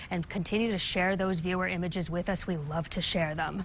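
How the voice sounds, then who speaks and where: A woman talks at a very fast pace in an upbeat tone at medium pitch. Light background noise is present. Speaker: TV meteorologist. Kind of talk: local TV weather forecast, reading temperatures and wind across counties. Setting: TV studio. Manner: brisk, upbeat delivery listing town-by-town readings; chatty and playful, laughs lightly with desk. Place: studio.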